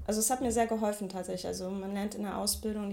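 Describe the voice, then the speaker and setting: A woman talks while noticeable background noise plays behind her. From Ruhr area, Mülheim an der Ruhr. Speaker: street artist and photographer. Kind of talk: interview. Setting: home office.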